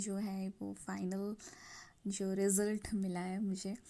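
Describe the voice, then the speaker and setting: In a Bengali accent, a woman speaks at a medium pitch with a dark, mellow tone and monotone, flat intonation. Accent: Bengali-accented Hindi. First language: Bengali (speaking Hindi). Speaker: cooking vlogger. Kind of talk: casual vlog talk. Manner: halting, with many fillers.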